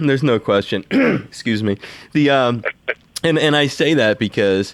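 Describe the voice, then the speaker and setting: This man has a normal speaking voice with an American accent, medium pitch and ordinary pitch variation. He keeps a moderate pace and very even loudness. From Delaware, near Philadelphia. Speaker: interviewer. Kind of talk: interview.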